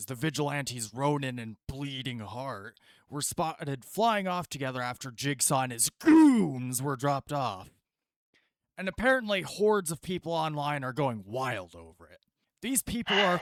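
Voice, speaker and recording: A man does a put-on character voice, fairly high in pitch and rumbling, with very wide pitch swings at a moderate pace. The sound is dry and close, with no echo. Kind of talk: TV news broadcast. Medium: actual play. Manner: dismissive, grumbling.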